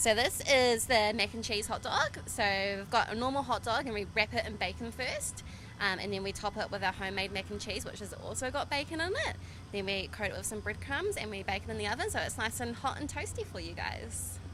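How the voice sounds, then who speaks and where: There is noticeable background noise. A woman with a New Zealand accent talks at a fairly quick pace. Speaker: food vendor. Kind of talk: casual interview. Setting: outdoor summer fair.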